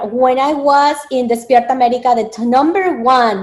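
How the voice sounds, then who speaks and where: In a Spanish accent, a woman talks at a moderate pace. Her pitch is high. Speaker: dietitian and media spokesperson. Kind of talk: interview. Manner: hesitant, many fillers.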